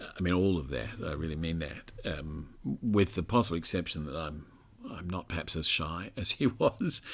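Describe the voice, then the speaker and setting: A man talks with a very deep, low pitch. His pitch variation is ordinary. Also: moderate pace. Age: 60s. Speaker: author and cancer survivor. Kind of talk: interview. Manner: halting.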